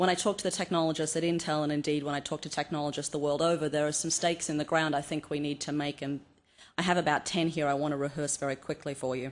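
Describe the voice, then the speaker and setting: Speaking at a very fast pace, a woman with an Australian accent has a very deep, low pitch and a monotone, flat intonation. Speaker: cultural anthropologist, conference speaker. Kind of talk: conference talk.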